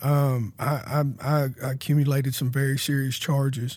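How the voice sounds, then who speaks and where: A man with a fairly high, somewhat breathy voice speaks in a flat monotone. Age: 30s. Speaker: former prisoner sharing faith testimony. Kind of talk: testimony.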